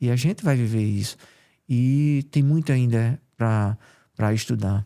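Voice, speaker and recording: A man's medium-pitched voice, dark and mellow in tone, at a fairly slow pace with ordinary pitch variation, very even loudness, and a dry, close sound with no echo. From Paraíba, Brazilian Northeast. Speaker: cardiologist. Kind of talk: interview.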